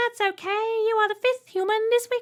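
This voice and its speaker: Using a put-on character voice, a woman speaks shrill and squeaky at an extremely high pitch, with monotone, flat intonation at a moderate pace. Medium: read story. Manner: polite, cheery.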